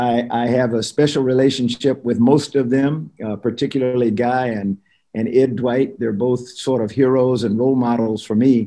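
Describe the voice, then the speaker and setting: At a moderate pace and with fairly even intonation, a man speaks in a dark, mellow tone against a quiet background. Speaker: webinar guest. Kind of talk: opening remarks, personal anecdote. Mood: warm, smiling. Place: home room. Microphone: video call.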